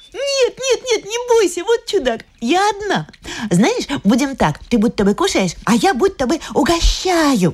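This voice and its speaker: Extremely high in pitch, a woman's voice swings very widely over noticeable background noise. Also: fairly slow pace. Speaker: audiobook narrator. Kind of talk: literary audiobook reading. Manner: lively, light narration, playful child's voice for the girl's lines.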